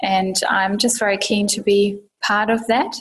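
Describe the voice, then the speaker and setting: A woman with a slight German accent speaks at a medium pitch in a somewhat breathy, monotone voice. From Germany. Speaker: urban sustainability professional. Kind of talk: interview.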